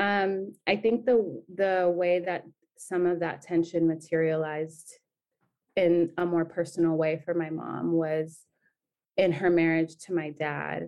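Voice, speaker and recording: Talking at a very slow pace, a woman has a Californian accent. Her pitch is fairly low, with fairly even intonation. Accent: Californian American. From San Diego, Southern California. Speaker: nonprofit program manager. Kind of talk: interview.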